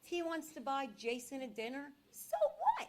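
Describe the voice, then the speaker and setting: With an American accent, a woman speaks in a high pitch and ordinary pitch variation. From Philadelphia area, Pennsylvania. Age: 60s. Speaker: public commenter. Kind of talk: public comment at a town meeting. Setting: municipal meeting room. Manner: animated.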